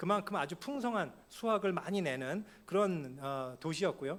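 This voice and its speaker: A man talks at a fairly quick pace with lively intonation and a high pitch. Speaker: pastor. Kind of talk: sermon. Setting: church. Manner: fast.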